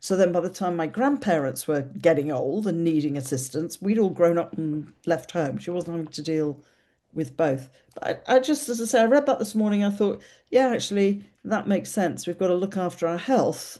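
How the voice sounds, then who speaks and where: A woman with an English accent speaks at a moderate pace in a fairly low pitch, her dark, mellow tone swinging very widely in pitch against a quiet background. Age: 60s. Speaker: podcast host. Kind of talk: casual chat.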